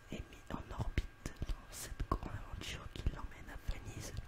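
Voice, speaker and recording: Whispering at a fairly slow pace, a man can be heard through noticeable background noise. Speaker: ASMR creator doing a roleplay as a film shop seller. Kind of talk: roleplay as shop seller, reading film back-cover synopses aloud. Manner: slightly stumbling, casual.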